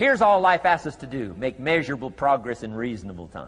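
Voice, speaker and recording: A man at medium pitch with very wide pitch swings and a fairly quick pace, music in the background. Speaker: motivational speaker. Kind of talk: motivational speech.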